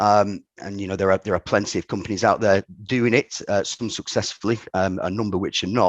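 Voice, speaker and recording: In a northern English accent, a man speaks fairly quickly at a fairly low pitch with monotone, flat intonation, the sound dry and close with no echo over a quiet background. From northern England, Ramsbottom, Lancashire. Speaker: company director. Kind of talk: podcast interview. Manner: halting, many repetitions.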